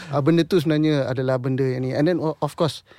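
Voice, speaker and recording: A man's fairly high-pitched voice, a plain, everyday voice, with fairly even intonation, a fairly quick pace and a dry, close sound with no echo. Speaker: singer and composer. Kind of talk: interview. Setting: studio.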